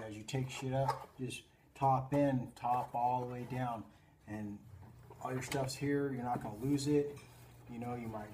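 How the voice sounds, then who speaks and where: Over noticeable background noise, a man talks at a moderate pace with monotone, flat intonation. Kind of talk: casual tutorial. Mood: relaxed, joking. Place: garage. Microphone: phone near.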